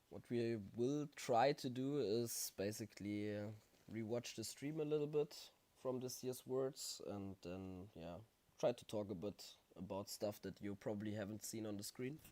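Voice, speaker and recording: At a moderate pace, a man with a dark, mellow tone speaks at medium pitch with ordinary pitch variation. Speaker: gaming streamer. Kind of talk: casual chat. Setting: live stream.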